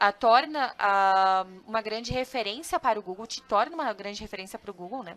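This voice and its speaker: A woman with a Santa Catarina accent talks at a fairly quick pace, her fairly high pitch carrying a bright, sharp tone. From southern Brazil, Joinville, Santa Catarina. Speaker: customer success analyst and content marketing specialist. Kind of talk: webinar presentation. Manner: casual, with frequent fillers and self-corrections.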